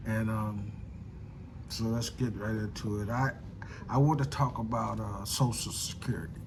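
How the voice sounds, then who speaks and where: A medium-pitched man with an American accent speaks at a moderate pace, with fairly even intonation and long, frequent pauses. Noticeable background noise and audible room echo fill the recording. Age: 60s. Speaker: political commentator vlogger. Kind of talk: casual monologue. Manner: halting, many fillers and repetitions.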